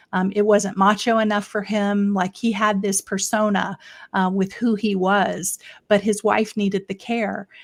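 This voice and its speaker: A woman's fairly slow, monotone, flat delivery in an American accent, in a very clean recording with a silent background. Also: medium pitch for a woman. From Florida, US South. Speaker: elder care consultant. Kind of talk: casual interview.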